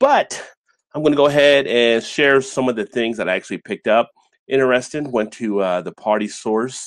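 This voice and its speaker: A man speaks against a quiet background. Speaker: beer channel host. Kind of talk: casual live stream chat. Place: home room.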